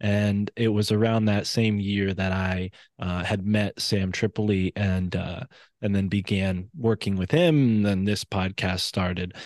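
With an East Coast American accent, a man talks at a fairly slow pace and a fairly low pitch, his intonation fairly even and the sound dry and close with no echo. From US East Coast. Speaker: independent researcher and podcaster. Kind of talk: interview conversation.

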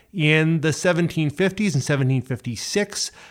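A man with a New Brunswick accent speaks at a fairly high pitch and moderate pace. His intonation is lively, and the recording is very clean with a silent background. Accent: Atlantic Canadian (New Brunswick). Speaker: heritage site director. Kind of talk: casual chat.

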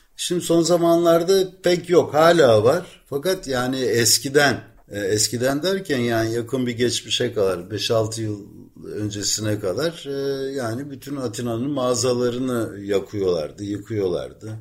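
A man speaks at a fairly slow pace, with noticeable background noise behind him. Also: medium pitch for a man, lively intonation. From Ankara, Turkey. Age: 60s. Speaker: veteran journalist living in Athens. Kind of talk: casual interview about life story.

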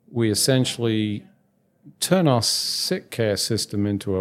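With a British accent, a man speaks at a medium pitch and a fairly slow pace in a very clean recording with a silent background. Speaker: podcast host, physician consultant. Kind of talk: interview.

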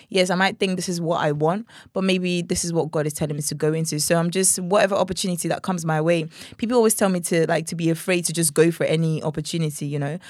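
A woman with a Nigerian accent talks at a very fast pace, her pitch fairly low and her intonation fairly even. The recording is very clean, with a silent background. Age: young. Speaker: gospel singer. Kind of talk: casual interview chat. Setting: studio.

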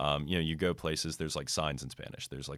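With an American accent, a man speaks in a very deep, low pitch marked by vocal fry. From United States. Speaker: student podcast host. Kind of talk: casual chat.

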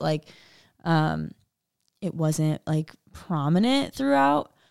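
The sound is dry and close, with no echo. Its tone is dark and mellow. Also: woman. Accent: American. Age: 20s. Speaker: church ministry worker. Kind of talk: casual chat.

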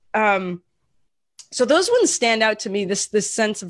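A woman's medium-pitched voice at a fairly slow pace, in a dry, close sound with no echo. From US Pacific Northwest (Portland). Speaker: podcast co-host. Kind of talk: casual chat. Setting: at home, remote recording.

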